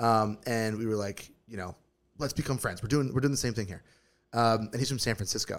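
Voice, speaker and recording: Fairly even intonation in an unremarkable speaking voice. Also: man, medium pitch for a man, fairly quick pace. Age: 30s. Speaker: podcast co-host. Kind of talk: casual chat.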